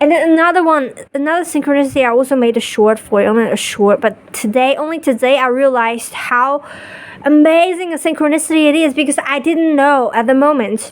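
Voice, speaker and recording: A woman with a non-native accent talks at high pitch and a fairly quick pace, her tone animated. Her pitch varies in an ordinary way, and noticeable background noise is present. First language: not English. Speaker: spiritual vlogger. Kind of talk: casual monologue. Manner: halting, with repetitions and restarts.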